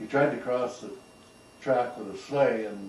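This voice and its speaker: A man with a Canadian prairie accent speaks at a fairly slow pace. There is audible room echo and noticeable background noise. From Canada, southwest Saskatchewan. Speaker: retired farmer. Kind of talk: oral history interview. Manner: halting.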